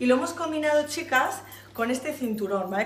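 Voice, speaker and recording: Audible room echo and noticeable background noise run through the recording. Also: woman. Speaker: fashion boutique presenter. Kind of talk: product showcase. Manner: animated.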